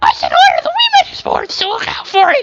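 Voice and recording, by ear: A put-on character voice at an extremely high pitch races along at a very fast pace.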